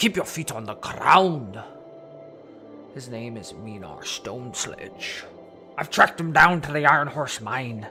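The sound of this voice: A man's put-on character voice at medium pitch and a fairly slow pace, with long, frequent pauses and clear music in the background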